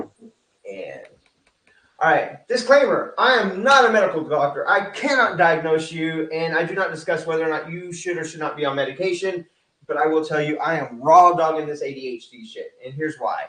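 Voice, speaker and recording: This man talks with a Texan accent. His intonation is lively. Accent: Texan American. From Texas. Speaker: real estate coach. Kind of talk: online presentation. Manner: fast; casual, filler-heavy.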